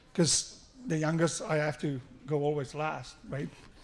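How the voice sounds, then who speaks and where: A man with a South African accent and ordinary pitch variation. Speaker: father of the groom. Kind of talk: wedding speech. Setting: wedding reception with PA system.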